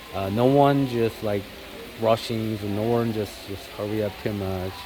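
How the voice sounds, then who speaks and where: Noticeable background noise accompanies a man with a fairly low pitch speaking at a fairly slow pace. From South Korea. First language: Korean. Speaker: vlogger. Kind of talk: casual vlog talk. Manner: halting, many fillers.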